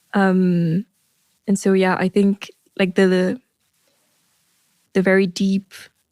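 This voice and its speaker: A woman with a French accent speaks in a dark, mellow tone, recorded dry and close with no echo. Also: very clean recording, silent background. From France. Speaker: writer and performer. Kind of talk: interview. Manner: halting, many fillers.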